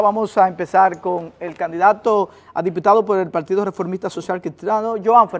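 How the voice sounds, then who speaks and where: With ordinary pitch variation, a high-voiced man talks at a moderate pace. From Dominican Republic. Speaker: TV host and debate moderator; TV host, debate moderator. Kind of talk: debate moderation. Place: studio. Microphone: lapel.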